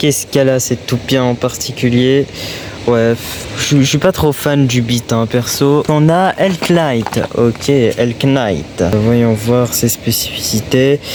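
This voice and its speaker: Soft-spoken and very slow, a man talks over noticeable background noise. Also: medium pitch for a man, ordinary pitch variation, very even loudness. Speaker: toy hunting YouTuber. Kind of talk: vlog. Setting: in shops.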